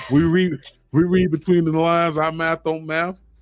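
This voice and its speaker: A man with an American accent talks in an animated tone, his pitch fairly high. Music plays in the background. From South Florida. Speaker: wrestling podcast host. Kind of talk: live stream casual chat. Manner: casual, animated.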